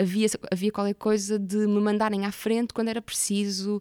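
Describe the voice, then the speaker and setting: Dry and close with no echo, a woman's normal speaking voice comes at a medium pitch and a moderate pace. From Portugal, Porto area. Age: 30s. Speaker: actress and theatre maker. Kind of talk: interview conversation.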